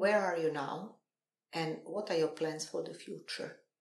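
A woman with a European accent speaks fairly slowly, at a medium pitch and with fairly even intonation. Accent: non-native English accent, European. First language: not English. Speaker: NLP coach and trainer. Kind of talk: casual interview.

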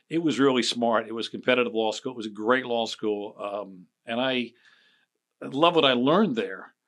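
A man with a Philadelphia accent talks at a fairly quick pace and medium pitch with ordinary pitch variation, over a quiet background. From Philadelphia area, Chester County. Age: 60s. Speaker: political strategist. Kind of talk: casual chat.

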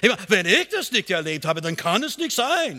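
This man has a high pitch and a bright, sharp tone. He speaks at a moderate pace with a non-native accent. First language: not German (speaking German). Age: 60s. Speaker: pastor. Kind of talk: sermon. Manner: halting.

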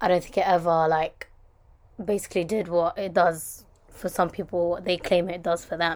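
A woman speaks with a London accent at a fairly low pitch. Her intonation is monotone and flat. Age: 20s. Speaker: podcast host. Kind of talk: casual monologue. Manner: chatty, rambling fast.

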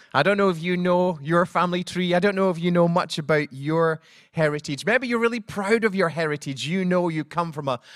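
A man with a Scottish accent speaks in a high pitch. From Scotland. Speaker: pastor. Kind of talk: sermon. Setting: church.

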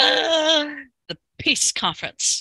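In a put-on character voice, the speaker pitches high. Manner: villainous, sinister laugh while speaking.

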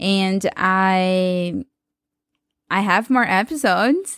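This woman speaks with a Portuguese accent. Her intonation is lively. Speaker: podcast host. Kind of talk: solo podcast monologue. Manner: casual, with frequent laughs and fillers.

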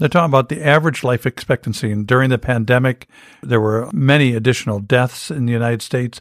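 In a very clean recording with a silent background and a dry, close sound with no echo, a man with a plain, everyday voice speaks at a fairly quick pace at medium pitch with ordinary pitch variation. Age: 60s. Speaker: pastor. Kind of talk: casual religious discussion.

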